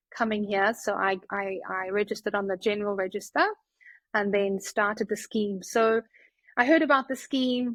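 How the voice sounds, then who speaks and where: A woman at a moderate pace with fairly even intonation against a quiet background. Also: dry, close sound with no echo. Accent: South African. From South Africa, Johannesburg. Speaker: family physician. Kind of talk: podcast interview. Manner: hesitant, many fillers.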